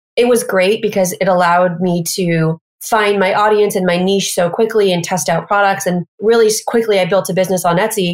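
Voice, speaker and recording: With an American accent, a woman speaks in a normal speaking voice at medium pitch, with fairly even intonation and a moderate pace. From US Midwest, Missouri. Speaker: e-commerce business founder. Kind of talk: interview.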